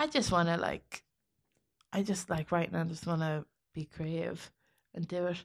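A woman's fairly low voice in an Irish Midlands accent, monotone and flat, at a moderate pace with long, frequent pauses, dry and close with no echo, on a very clean recording with a silent background. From Ireland, County Westmeath. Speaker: comedian. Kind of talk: casual chat.

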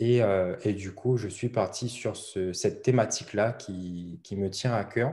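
Fairly low in pitch, a man speaks in a dark, mellow tone with fairly even intonation. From La Réunion. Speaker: blogger, online business coach. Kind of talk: interview. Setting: video call. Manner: hesitant, many fillers and repetitions.

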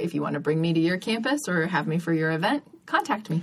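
A woman speaks with a slight Californian accent. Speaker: comedian. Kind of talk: casual chat. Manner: animated.

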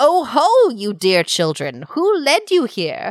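A female-sounding put-on character voice, high in pitch, at a fairly slow pace. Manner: cackling, sweetly sinister.

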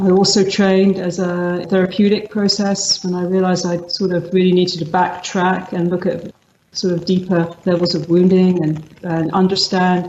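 With a London accent, a woman talks at a medium pitch and a moderate pace. Her intonation is monotone and flat, with hardly any pauses. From England, London (East End roots). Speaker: meditation teacher. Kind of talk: interview conversation. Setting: video call.

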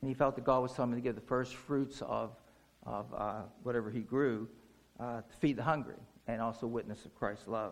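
A man's medium-pitched voice with vocal fry, fairly even intonation, and a fairly quick pace. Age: 60s. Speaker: lay preacher. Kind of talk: sermon. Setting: church. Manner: conversational, with frequent fillers.

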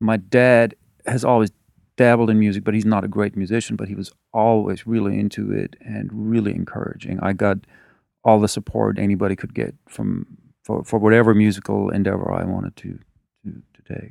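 A man's fairly low, monotone, flat voice at a fairly quick pace, in a very clean recording with a silent background. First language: German. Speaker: musician. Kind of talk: interview. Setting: studio.

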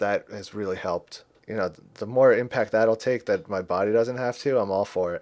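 A man with an ordinary speaking voice and a fairly low pitch talks at a fairly quick pace, with hardly any pauses and big swings in loudness. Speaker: podcaster. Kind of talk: casual chat.

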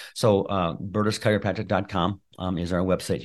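A man speaks with a very deep, low pitch against a quiet background. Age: 60s. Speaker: chiropractor and functional medicine practitioner. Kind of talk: interview.

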